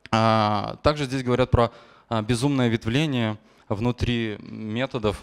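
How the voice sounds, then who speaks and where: A man talks at a very slow pace, the background quiet. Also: medium pitch for a man, fairly even intonation. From Belarus, Gomel; Belarus. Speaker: software engineer; conference speaker. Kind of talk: conference talk. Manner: hesitant, frequent filler sounds. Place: hall. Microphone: handheld.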